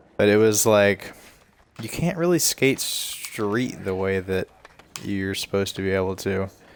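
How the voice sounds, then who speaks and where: A man with a relaxed tone and fairly low pitch talks at a fairly slow pace with ordinary pitch variation amid noticeable background noise. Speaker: gaming streamer. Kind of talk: casual gameplay commentary. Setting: livestream. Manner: stuttering.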